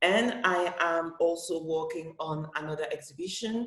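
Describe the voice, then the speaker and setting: Speaking at a fairly slow pace, a woman with a French accent has a very deep, low pitch. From Cameroon. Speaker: comic book author and festival director. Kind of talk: panel discussion. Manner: halting.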